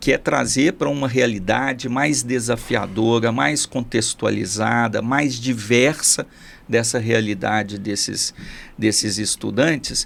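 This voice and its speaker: Vocal fry runs through this man's medium-pitched voice as he speaks at a very slow pace with ordinary pitch variation. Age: 60s. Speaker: school director. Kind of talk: interview. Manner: halting.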